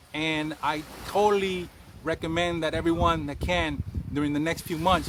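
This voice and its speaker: A man with a New York accent speaks at a fairly quick pace in a high pitch. Noticeable background noise runs under his voice. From Bronx, New York. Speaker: cannabis chef. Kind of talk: interview answer.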